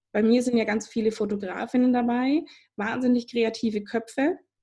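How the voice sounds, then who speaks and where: A woman with a fairly high pitch and a dark, mellow tone speaks somewhat breathily at a moderate pace, with fairly even intonation. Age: 30s. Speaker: podcast host, business coach. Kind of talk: podcast interview.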